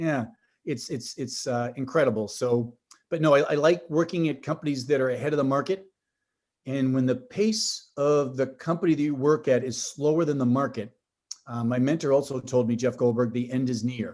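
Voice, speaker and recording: A man with a Boston accent talks at a moderate pace, his medium pitch showing ordinary variation. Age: 50s. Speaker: tech company executive. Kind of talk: podcast interview. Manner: animated, with frequent restarts and fillers.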